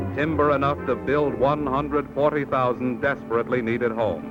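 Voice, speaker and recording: A man speaks at a moderate pace as music plays in the background. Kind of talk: vintage educational film narration.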